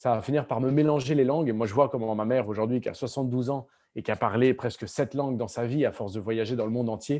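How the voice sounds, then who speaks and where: A man talks at a very fast pace in a dark, mellow voice of medium pitch with fairly even intonation. The recording is very clean, with a silent background. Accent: Spanish. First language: Spanish (speaking French). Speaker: novelist. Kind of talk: school Q&A conversation. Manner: halting with many repetitions.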